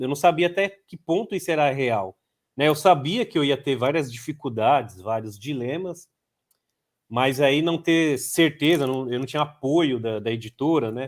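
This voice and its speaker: A man speaks at a moderate pace in a fairly high voice, his pitch swinging very widely. The recording is very clean and the background silent. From São Paulo, Brazil (Heliópolis favela). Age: 30s. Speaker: journalist and author. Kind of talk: interview. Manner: halting, many fillers and repetitions.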